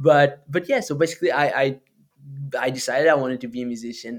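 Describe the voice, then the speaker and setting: A man with a Portuguese accent speaks at a medium pitch. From Portugal (Alcobaça). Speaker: musician and podcaster. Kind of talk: casual interview conversation.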